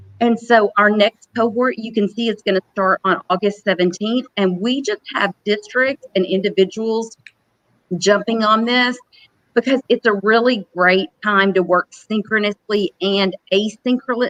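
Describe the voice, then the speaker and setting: A woman with a Southern US accent speaks at a fairly high pitch and a fairly slow pace, with fairly even intonation in a dry, close sound with no echo. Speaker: professional learning specialist. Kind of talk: conference panel talk.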